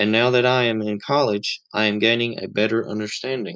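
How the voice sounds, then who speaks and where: A man with a Southern US accent, medium pitch, a bright, sharp tone and a moderate pace. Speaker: college student podcaster. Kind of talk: scripted narration; interview.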